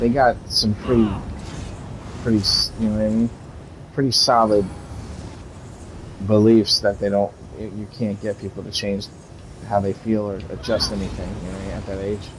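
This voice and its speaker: With noticeable background noise behind him, a man with an American accent and a fairly low pitch speaks at a moderate pace in a monotone, flat intonation, with long, frequent pauses and big swings in loudness. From United States. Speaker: gaming streamer. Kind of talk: casual chat.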